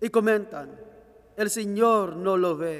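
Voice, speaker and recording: In a quiet background, a man's pitch varies in an ordinary way. His pace is very slow. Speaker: lector reading scripture. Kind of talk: reading aloud. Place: church.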